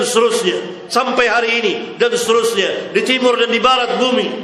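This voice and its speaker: An extremely high-pitched, raised and projected male voice at a moderate pace in monotone, flat intonation, with audible room echo and noticeable background noise. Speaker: Islamic preacher. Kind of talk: religious lecture Q&A. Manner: forceful, emphatic.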